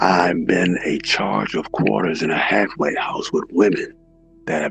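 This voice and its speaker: Music plays in the background as a man talks fairly slowly. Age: 60s. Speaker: recovering addict, former youth counselor. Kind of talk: testimony. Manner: halting.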